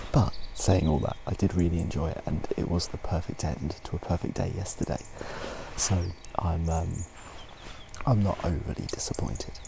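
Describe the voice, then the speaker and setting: Over noticeable background noise, a man with a very deep, low voice talks at a moderate pace with lively intonation and long, frequent pauses. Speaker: motorcycle travel vlogger. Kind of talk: vlog narration. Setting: outdoors. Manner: soft-spoken.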